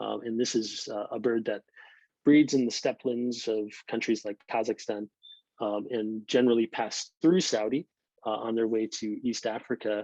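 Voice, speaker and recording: The sound is dry and close with no echo. A man with an American accent and a dark, mellow tone speaks at a moderate pace with fairly even intonation. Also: medium pitch for a man. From northeastern United States. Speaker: birder and English instructor. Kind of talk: online presentation talk. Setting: video call.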